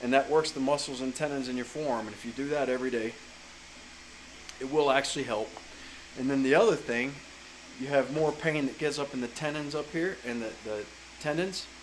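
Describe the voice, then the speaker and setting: With an American accent, the speaker moves at a fairly quick pace yet leaves long, frequent pauses. Background noise is noticeable. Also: man, fairly high pitch for a man. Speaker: chainsaw carver. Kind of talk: casual vlog advice talk. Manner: casual, with fillers and self-corrections.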